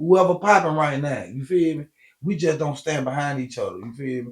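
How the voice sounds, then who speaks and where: A fairly quick, somewhat breathy male voice, fairly high in pitch, its pitch varying in an ordinary way. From Alabama, Montgomery area. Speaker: comedian and DJ. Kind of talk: interview, casual chat. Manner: animated.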